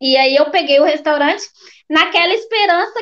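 A woman talks in a Minas Gerais accent with ordinary pitch variation. The background is quiet. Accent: Brazilian Portuguese, mineiro. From Belo Horizonte, Minas Gerais, Brazil. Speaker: restaurant owner, immigrant entrepreneur. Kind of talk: interview. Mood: animated, expressive storytelling. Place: home room. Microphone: video call.

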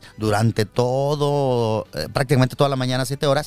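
A man with a fairly high voice talks at a moderate pace with ordinary pitch variation, the sound dry with no echo and faint music in the background. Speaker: radio announcer and TV presenter; radio announcer, TV presenter. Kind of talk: interview answer, casual talk. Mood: relaxed, reminiscing. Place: studio. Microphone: studio mic.

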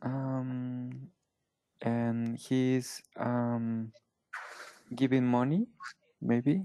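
A man speaks very slowly in a Spanish accent, with long, frequent pauses and a flat, monotone intonation. His tone is dark and mellow, and the background is quiet. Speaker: English learner; online English tutor. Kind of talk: English lesson. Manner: halting, hesitant. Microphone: headset.

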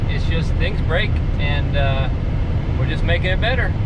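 Over loud background noise, a man talks at a moderate pace in a dry recording with no echo. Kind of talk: casual vlog chat. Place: car. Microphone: camera far.

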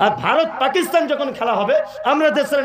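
A man's speech is accompanied by clearly audible background noise. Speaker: Islamic preacher giving a waz lecture. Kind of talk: public religious sermon with humorous storytelling. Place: stage.

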